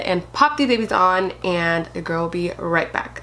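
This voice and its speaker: Against noticeable background noise, a woman with a medium pitch speaks at a moderate pace with ordinary pitch variation. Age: 20s. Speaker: beauty youtuber. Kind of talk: tutorial.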